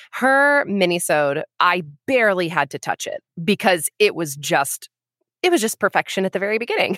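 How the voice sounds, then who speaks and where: A woman uses an ordinary speaking voice at medium pitch, speaking at a moderate pace with lively intonation. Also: dry, close sound with no echo. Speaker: actress, sound designer and editor. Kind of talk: casual chat.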